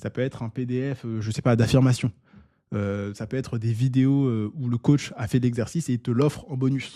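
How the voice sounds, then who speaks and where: Recorded very cleanly against a silent background, a man speaks at medium pitch with a dark, mellow tone and fairly even intonation. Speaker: online business coach. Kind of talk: tutorial. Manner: fast; casual, with filler words.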